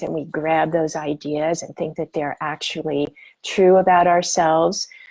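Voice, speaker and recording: Fairly low in pitch, the woman's voice has a dark, mellow tone and monotone, flat intonation. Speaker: spiritual teacher. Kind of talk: guided meditation talk. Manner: slow; calm, many hesitations.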